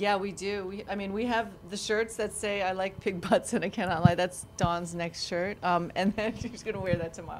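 A normal speaking voice with an American accent moves at a moderate pace with hardly any pauses, fairly even intonation and big swings in loudness. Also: woman, medium pitch for a woman. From New York. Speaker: restaurant owner. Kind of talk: casual interview.

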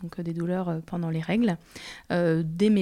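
Speaking at a fairly slow pace, a woman has a dark, mellow tone and a fairly low pitch. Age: 30s. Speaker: patient sharing her experience with endometriosis. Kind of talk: testimony. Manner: hesitant, many filler sounds.

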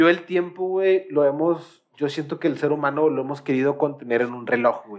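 With a Mexican accent, a man speaks at a fairly high pitch and a moderate pace, with ordinary pitch variation and big swings in loudness. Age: 20s. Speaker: podcast host. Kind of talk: casual chat. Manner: animated.

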